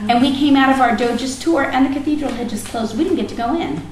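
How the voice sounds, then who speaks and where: Audible room echo colors the recording. A woman talks amid noticeable background noise. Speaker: teacher leading a student trip meeting. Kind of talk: informational meeting presentation.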